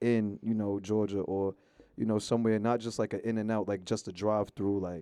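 A man with a New York accent talks at a fairly quick pace, his voice fairly low with a dark, mellow tone. His intonation stays fairly even against a quiet background. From New York, Long Island. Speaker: rapper. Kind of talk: casual interview.

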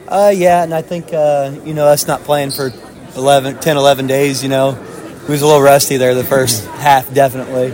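A man with a fairly high pitch speaks at a moderate pace with fairly even intonation over noticeable background noise. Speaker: assistant basketball coach. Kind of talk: casual interview.

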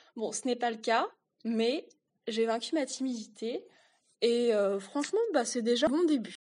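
Pausing long and often, a woman talks at a fairly slow pace and a high pitch with ordinary pitch variation. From rural France. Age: 20s. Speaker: podcast co-host. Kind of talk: personal storytelling. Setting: solo home recording.

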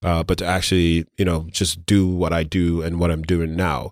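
A man with a New York accent speaks at a fairly quick pace in a very deep, low voice, recorded dry and close with no echo, very clean and against a silent background. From Brooklyn, New York (born in Grenada, moved at seven). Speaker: city government commissioner. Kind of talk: podcast interview. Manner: casual with frequent fillers.

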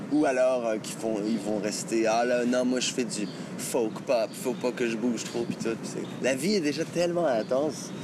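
Medium-pitched male speech with lively intonation at a moderate pace, plus audible room echo and noticeable background noise. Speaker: singer-songwriter. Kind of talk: interview. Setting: outdoors. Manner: halting.

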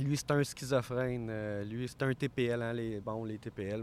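A man at medium pitch, monotone and flat in intonation. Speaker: mental health worker and board member. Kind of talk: interview. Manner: intense.

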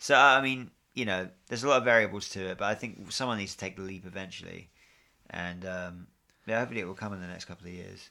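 A man with a fairly low voice talks very fast in a bright, sharp tone, with ordinary pitch variation and big swings in loudness. The recording is very clean, with a silent background. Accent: British. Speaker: podcast host. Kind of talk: casual chat. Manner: joking, banter.

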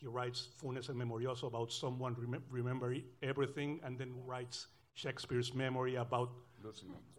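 A man talks at a very fast pace with a medium pitch. His intonation is monotone and flat, and his voice is somewhat breathy. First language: Spanish. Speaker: novelist. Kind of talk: panel discussion. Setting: stage with audience.

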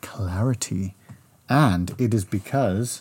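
Here a man sounds playful and animated. His voice is somewhat breathy. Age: 40s. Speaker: podcast co-host, father. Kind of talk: casual chat. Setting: home desk microphone. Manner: playful, animated.

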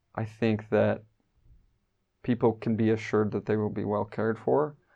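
With a Midwestern American accent, a man speaks at a moderate pace and medium pitch over a quiet background. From US Midwest, Wyoming. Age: 30s. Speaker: church elder. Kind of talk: interview.

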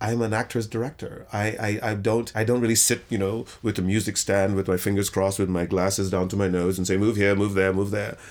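On a very clean recording with a silent background, a man talks in a normal speaking voice at a fairly quick pace. His pitch is fairly low and his intonation fairly even. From Trinidad, raised in England and New York. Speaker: theater actor and director. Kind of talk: interview.

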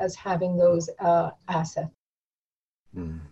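A woman speaks at a medium pitch. Her voice is somewhat breathy, with a dark, mellow tone. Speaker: college professor and former ESL teacher. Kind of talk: interview conversation.

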